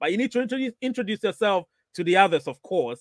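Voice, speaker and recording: A man talks with a dry sound with no echo against a quiet background. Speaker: live stream host. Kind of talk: casual livestream chat, reading viewer comments. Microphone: studio mic.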